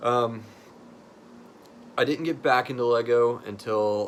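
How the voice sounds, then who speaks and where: Speaking with an American accent and fairly even intonation, a man is heard against noticeable background noise. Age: 30s. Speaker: hobbyist content creator. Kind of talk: casual personal talk to camera.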